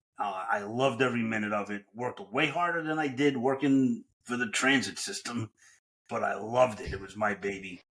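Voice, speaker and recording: A man in a New York accent, medium in pitch with ordinary variation, at a fairly quick pace. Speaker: franchise consultant. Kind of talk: podcast interview.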